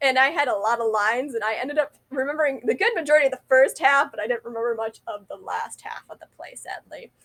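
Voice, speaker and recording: A woman mumbles at a very fast pace with a high pitch. Her intonation is lively, and the sound is dry and close with no echo. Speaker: vlogger. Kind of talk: casual monologue. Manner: mumbling.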